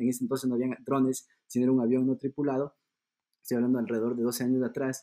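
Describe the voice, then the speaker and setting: A dark, mellow tone rushes by at a very fast pace with monotone, flat intonation. The sound is dry and close, with no echo. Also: man, medium pitch for a man. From Ecuador. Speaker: luxury accessories designer. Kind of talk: podcast interview.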